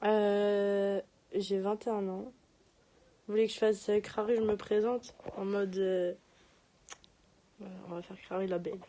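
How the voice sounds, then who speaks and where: Woman's medium-pitched voice, fairly slow with long, frequent pauses, flat and monotone yet with big swings in loudness. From Paris region (Seine-et-Marne, 77). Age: 20s. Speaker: livestreamer. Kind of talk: casual chat.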